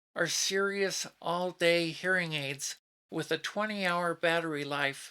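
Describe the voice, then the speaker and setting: In a very clean recording with a silent background, a woman with an American accent speaks at a fairly slow pace. Her tone is bright and sharp, with ordinary pitch variation. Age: 60s. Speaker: YouTube reviewer, retiree. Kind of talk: product review. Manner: formal.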